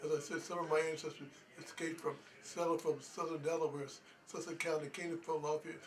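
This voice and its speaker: There is noticeable background noise as a man with an American accent talks at a very fast pace. His pitch is fairly high and his intonation monotone and flat. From US Northeast, Pennsylvania (Norristown). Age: 80s+. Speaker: historian. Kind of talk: interview. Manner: halting.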